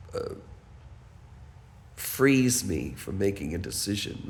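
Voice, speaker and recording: A man's voice with audible room echo. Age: 70s. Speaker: building resident. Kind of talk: personal testimony.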